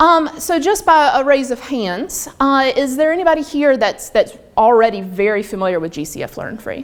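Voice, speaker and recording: A high-pitched woman with a Southern US accent barely pauses, her pitch swinging very widely and her loudness rising and falling sharply. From US South, North Carolina. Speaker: online learning trainer. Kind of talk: workshop presentation. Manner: fast. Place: meeting room.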